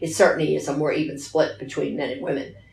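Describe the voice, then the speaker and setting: Music plays in the background as a woman speaks with an American accent. Her pitch is very deep and low. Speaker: retired teacher. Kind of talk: interview answer.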